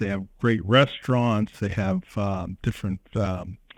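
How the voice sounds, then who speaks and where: This man talks with an American accent. He delivers his words at a fairly slow pace. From Pittsburgh, Pennsylvania. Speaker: chamber of commerce director. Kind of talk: interview. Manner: hesitant, many fillers.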